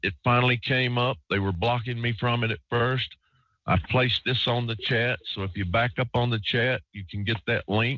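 At a moderate pace, a man talks in a normal speaking voice at medium pitch with fairly even intonation. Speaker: radio host. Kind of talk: live call-in radio show. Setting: online radio show, recording line.

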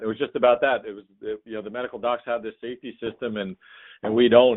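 A man talks at a very fast pace. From New Jersey. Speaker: podcast host and chiropractor. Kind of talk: casual interview.

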